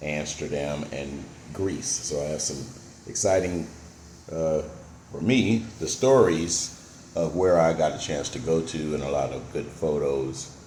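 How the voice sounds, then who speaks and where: Speaking with an American accent, a man uses a very deep, low pitch and ordinary pitch variation. His pace is fairly slow, and room echo can be heard. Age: 60s. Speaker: retired vlogger. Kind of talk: casual vlog monologue. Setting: at home. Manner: hesitant, many fillers.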